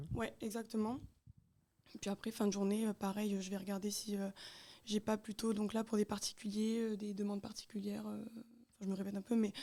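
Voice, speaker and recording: A woman with a dark, mellow tone speaks at medium pitch and a fairly quick pace in a monotone, flat intonation. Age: 20s. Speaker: self-employed seamstress. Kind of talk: radio interview. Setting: web radio live studio. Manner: hesitant, many fillers.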